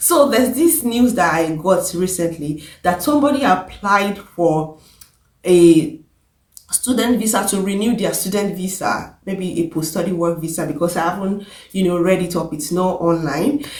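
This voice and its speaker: A woman's medium-pitched, somewhat breathy voice at a moderate pace, with lively intonation and audible room echo. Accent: Nigerian. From Nigeria. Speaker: vlogger, care assistant and pharmacist. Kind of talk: casual vlog advice.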